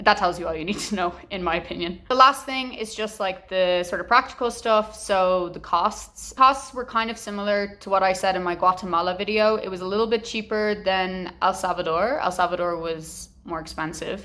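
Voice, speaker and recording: The voice is loud, with a bright, sharp tone and ordinary pitch variation. It keeps a moderate pace with hardly any pauses. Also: woman, medium pitch for a woman. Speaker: travel vlogger. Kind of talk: travel vlog talk to camera. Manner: casual, filler-heavy.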